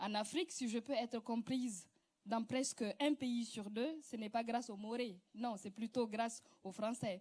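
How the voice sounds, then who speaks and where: At a fairly slow pace, a woman speaks with fairly high pitch and ordinary pitch variation. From West Africa, Mossi-speaking. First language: Moore (speaking French). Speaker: actress and comedian. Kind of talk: prepared speech, reading aloud.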